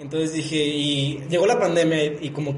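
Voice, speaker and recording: A man is speaking amid noticeable background noise. Audible room echo is present too. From León, Guanajuato, Mexico. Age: 20s. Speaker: law student. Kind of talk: casual chat.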